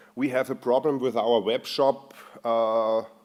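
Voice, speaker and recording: A man's medium-pitched voice in an Austrian accent, monotone and flat, at a fairly slow pace. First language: German. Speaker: software performance engineer. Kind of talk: conference talk. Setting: stage with audience. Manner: halting, many fillers.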